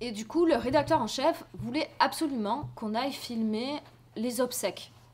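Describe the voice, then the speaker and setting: At a fairly slow pace, this voice carries ordinary pitch variation over noticeable background noise. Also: woman, high pitch for a woman. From France, Marseille. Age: 30s. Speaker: journalist and documentary filmmaker. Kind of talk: interview with students. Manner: hesitant, many fillers.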